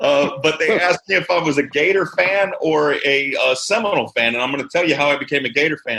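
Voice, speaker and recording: An ordinary speaking voice from a man with an American accent, fairly high in pitch, at a moderate pace with ordinary pitch variation. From Chicago area, US Midwest, then central Florida from age 14. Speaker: firefighters union leader. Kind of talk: podcast interview.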